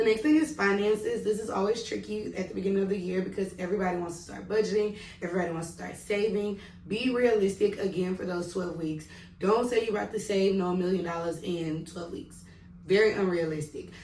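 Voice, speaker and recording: A woman with a Southern US accent speaks at a very fast pace in an animated tone, at medium pitch with ordinary pitch variation and big swings in loudness. Audible room echo and noticeable background noise come through. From Mississippi, US South. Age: 20s. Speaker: vlogger and kindergarten teacher. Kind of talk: casual tutorial vlog.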